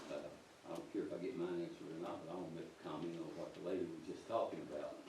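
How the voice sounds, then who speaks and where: A man speaking at a very fast pace amid noticeable background noise and audible room echo. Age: 70s. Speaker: community member, great-grandparent. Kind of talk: public comment at board meeting.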